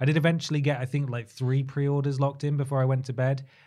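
A man with an English accent and a medium pitch sounds somewhat breathy in a very clean recording with a silent background. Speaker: podcast host. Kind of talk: casual chat.

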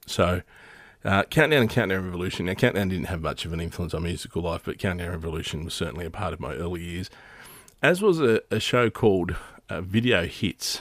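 A man with a very deep, low pitch and an Australian accent at a fairly quick pace, on a very clean recording with a silent background. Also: ordinary pitch variation. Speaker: podcast host. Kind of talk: casual solo monologue. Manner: halting, many fillers.

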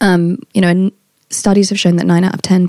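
In a British accent, a woman talks at a moderate pace and medium pitch with ordinary pitch variation, the sound dry and close with no echo. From Britain. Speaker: health supplement company founder. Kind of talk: interview. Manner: energetic.

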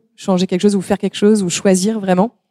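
A woman speaks with a dark, mellow tone in a monotone, flat intonation. The sound is dry and close, with no echo. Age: 30s. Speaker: pastry chef. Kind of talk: live panel talk. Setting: stage with audience. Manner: hesitant, many fillers.

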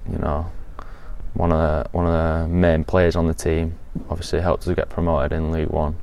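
Over noticeable background noise, a man with a very deep, low pitch speaks in a flat monotone. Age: young. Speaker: professional footballer. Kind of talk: interview.

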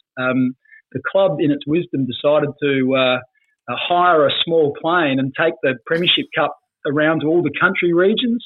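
With an Australian accent, the speaker keeps a moderate pace, ordinary pitch variation, and very even loudness. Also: man, fairly high pitch for a man. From South Australia, Port Pirie. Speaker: former football player. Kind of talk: casual chat.

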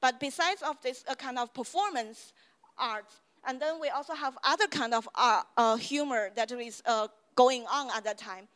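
Lively intonation with a Chinese accent at a moderate pace, in a very clean recording with a silent background and a dry, close sound with no echo. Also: woman, high pitch for a woman. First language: Mandarin Chinese. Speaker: university lecturer. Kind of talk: lecture. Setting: stage with audience.

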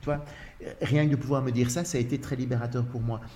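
Audible room echo around a man's medium-pitched voice with a Belgian accent and ordinary pitch variation. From Belgium. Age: 60s. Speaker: actor in a one-man show about couples. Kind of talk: casual chat. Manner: halting, many repetitions.

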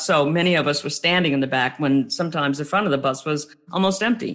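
This is a woman with an American accent. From US South, New Orleans. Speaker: author and diversity trainer. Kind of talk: interview.

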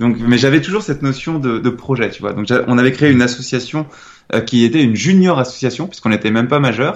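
The speech moves at a very fast pace with hardly any pauses and ordinary pitch variation. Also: man, medium pitch for a man. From France, Nantes. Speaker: entrepreneur and author. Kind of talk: interview. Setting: remote call. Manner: hesitant, casual with fillers.

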